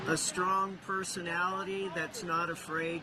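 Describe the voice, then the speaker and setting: Speaking at a fairly slow pace with an American accent, the voice comes through audible room echo and noticeable background noise. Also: man. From Iowa, US Midwest. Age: 60s. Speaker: rally attendee. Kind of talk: street interview. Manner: halting.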